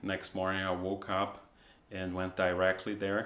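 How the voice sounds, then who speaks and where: A man talks at a fairly low pitch. He speaks with a Portuguese accent. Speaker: comic artist. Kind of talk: casual vlog talk. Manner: halting, with repetitions.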